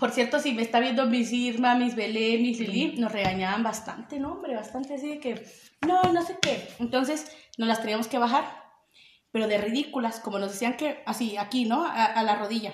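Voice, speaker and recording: With lively intonation, a woman speaks at a high pitch and moderate pace amid audible room echo. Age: 20s. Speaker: podcast co-host. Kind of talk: casual chat.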